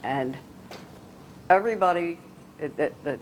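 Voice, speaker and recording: Speaking at a fairly slow pace, a woman talks with an American accent. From Philadelphia. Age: 80s+. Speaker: sister of a late cardinal, pro-life speaker. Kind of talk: casual reminiscing Q&A. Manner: halting.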